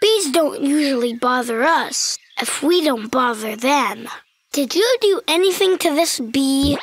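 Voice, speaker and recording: A female-sounding cartoonish character voice, pitched high for a woman, talks at a fairly slow pace. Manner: upbeat, explanatory.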